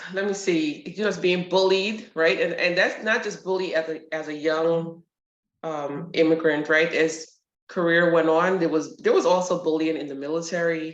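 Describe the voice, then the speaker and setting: A woman speaks with a New York accent at a fairly low pitch and a moderate pace. Her intonation is fairly even, and audible room echo surrounds the recording. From New York, Brooklyn. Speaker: retired army sergeant major and nurse. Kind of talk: interview. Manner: direct.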